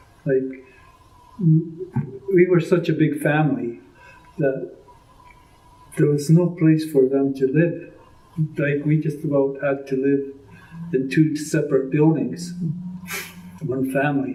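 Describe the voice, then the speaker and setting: A man with a Canadian accent talks at a fairly slow pace with long, frequent pauses and fairly even intonation, with noticeable background noise and audible room echo. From British Columbia, Canada. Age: 80s+. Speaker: interviewee, elder recounting family history. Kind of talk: oral history interview. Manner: halting, with many fillers.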